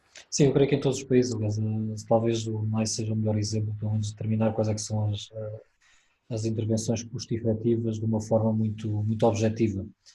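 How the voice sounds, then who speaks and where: A man's somewhat breathy, dark, mellow voice with a European Portuguese accent, fairly low in pitch, very fast and monotone with flat intonation. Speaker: webinar moderator. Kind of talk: webinar moderation. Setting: video call webinar.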